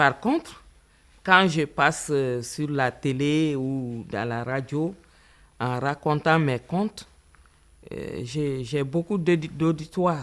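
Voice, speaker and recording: Very slow with long, frequent pauses, a woman speaks at a very deep, low pitch in a Malian accent. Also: ordinary pitch variation. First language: Bambara (speaking French). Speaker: writer and storyteller. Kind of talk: interview. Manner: halting.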